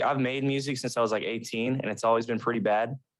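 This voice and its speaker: A man's voice with an American accent and fairly even intonation, over a quiet background. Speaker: emo band musician. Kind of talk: casual chat. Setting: podcast recording.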